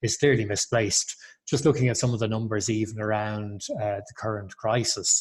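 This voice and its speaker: Someone with an Irish accent talks at a fairly quick pace in a somewhat breathy, monotone, flat voice over a quiet background. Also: man. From Ireland. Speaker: chamber of commerce executive. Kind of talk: webinar panel talk.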